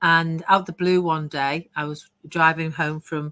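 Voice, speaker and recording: A woman's very deep, low voice with a British accent, bright and sharp in tone, monotone and flat, at a moderate pace. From United Kingdom. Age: 60s. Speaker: online business coach. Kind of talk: interview testimony.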